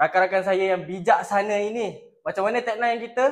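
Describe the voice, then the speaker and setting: A man with a high pitch and an animated tone speaks at a moderate pace with ordinary pitch variation. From Malaysia, Melaka (Batu Berendam). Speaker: podcast host, teacher trainee. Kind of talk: casual chat.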